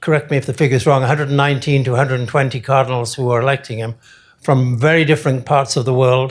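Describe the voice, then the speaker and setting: A man with a British accent speaks at a very fast pace and a medium pitch, in a somewhat breathy voice with monotone, flat intonation. The recording is very clean, with a silent background. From United Kingdom. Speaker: audience member asking a question, diplomat. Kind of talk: audience question. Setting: stage with live audience.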